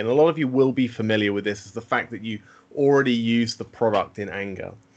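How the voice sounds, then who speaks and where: Speaking with a British accent, a man uses a medium pitch. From UK. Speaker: systems engineer presenting a product. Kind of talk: webinar product presentation. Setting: online webinar call. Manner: frequent fillers and repetitions.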